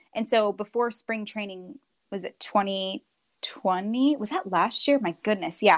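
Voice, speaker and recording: A woman speaks in an unremarkable speaking voice, fairly high in pitch with ordinary pitch variation. The sound is dry and close, with no echo. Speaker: sports broadcaster. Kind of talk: interview. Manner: fast talker.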